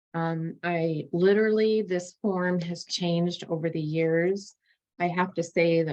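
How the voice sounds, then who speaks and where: Speaking in an unremarkable speaking voice, a woman uses a fairly low pitch and fairly even intonation at a fairly slow pace. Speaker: litigation paralegal. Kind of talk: presentation to students.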